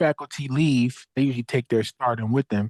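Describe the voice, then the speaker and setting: Recorded with a dry, close sound and no echo over a quiet background, a man speaks at a medium pitch with fairly even intonation. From Philadelphia, Southwest Philly. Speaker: social worker and nonprofit founder. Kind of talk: interview. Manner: casual.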